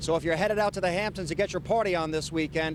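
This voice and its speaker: There is noticeable background noise as a man speaks at a very fast pace. His pitch varies in an ordinary way. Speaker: TV news reporter. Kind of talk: TV news field report.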